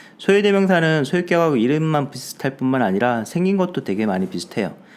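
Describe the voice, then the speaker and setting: The man talks at a fairly quick pace and a fairly high pitch. His pitch swings very widely. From Gyeongsang, Korea. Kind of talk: teaching, explanatory.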